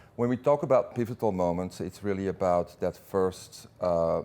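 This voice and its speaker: In a Belgian accent, the voice has a dark, mellow tone on a very clean recording with a silent background. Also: man. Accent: Belgian accent, noticeable. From Belgium. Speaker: business executive. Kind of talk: interview. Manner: hesitant, many fillers and repeats.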